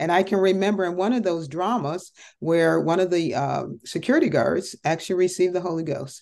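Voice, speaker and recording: With an American accent and vocal fry, a woman talks fairly quickly and with hardly any pauses in a fairly low voice with ordinary pitch variation. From Connecticut, US. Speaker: entrepreneur and ministry leader. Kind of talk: interview testimony.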